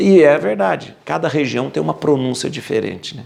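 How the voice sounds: In a rural Brazilian accent, a man talks at a moderate pace with a medium pitch. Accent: rural Brazilian caipira.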